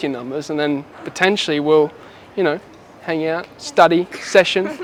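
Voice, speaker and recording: Speaking with an Australian accent, a man talks at a moderate pace with high pitch and ordinary pitch variation. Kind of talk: casual street pickup talk. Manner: cheeky, playful.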